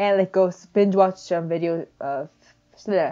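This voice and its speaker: The speaker is a woman with a non-native accent. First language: not English. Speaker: digital artist. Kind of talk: speedpaint voiceover chat. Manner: halting.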